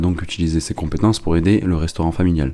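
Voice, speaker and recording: Talking at a very fast pace, a man has a very deep, low voice. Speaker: podcast host and sales agency founder. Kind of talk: scripted podcast intro.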